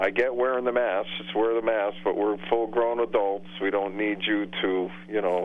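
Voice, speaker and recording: A fairly low-pitched man at a moderate pace with ordinary pitch variation and hardly any pauses, amid noticeable background noise. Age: 60s. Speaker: sibling of the host, regular on-air contributor. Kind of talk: casual chat.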